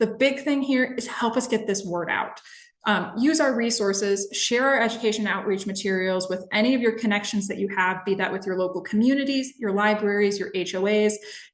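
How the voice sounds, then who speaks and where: A woman with an American accent, fairly high in pitch, with ordinary pitch variation, a fairly quick pace and hardly any pauses. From Minnesota. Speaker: environmental educator. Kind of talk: webinar presentation. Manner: fast.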